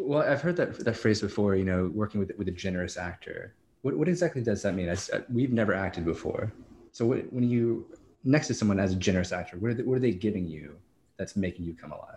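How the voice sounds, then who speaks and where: A somewhat breathy voice, lively intonation and a very fast pace. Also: man, fairly low pitch for a man. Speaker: podcast host. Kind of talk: casual chat.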